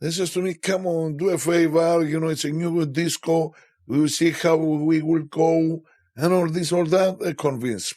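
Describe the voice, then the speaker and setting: A man with a Greek accent, a dark, mellow tone and fairly high pitch, with ordinary pitch variation at a moderate pace. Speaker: DJ. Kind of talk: interview. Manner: halting.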